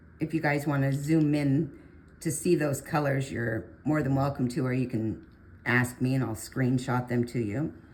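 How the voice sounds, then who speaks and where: A woman speaks quietly at a fairly slow pace. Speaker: art tutorial creator. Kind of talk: tutorial.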